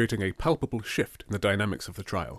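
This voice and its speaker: Speaking very fast in a dramatic tone, a man with a fairly low pitch is heard in a very clean recording with a silent background and a dry, close sound with no echo. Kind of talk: scripted narration of a courtroom drama. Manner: dramatic, suspenseful storyteller.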